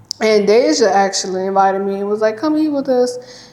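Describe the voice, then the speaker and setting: This woman's voice has a dark, mellow tone and a fairly high pitch, with ordinary pitch variation. She speaks at a fairly quick pace, and there is audible room echo. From US South, Louisiana. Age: young. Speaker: podcast co-host. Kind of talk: casual chat.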